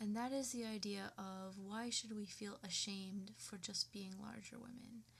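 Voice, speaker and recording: A woman speaks at a moderate pace and medium pitch. Her voice is somewhat breathy, with fairly even intonation. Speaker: vlogger. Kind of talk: personal rant to webcam. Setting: webcam recording at home. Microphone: poor webcam audio.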